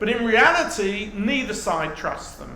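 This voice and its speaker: A man with a British accent speaks in a raised, projected voice amid noticeable background noise and audible room echo. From England, North London. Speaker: professor. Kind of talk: lecture.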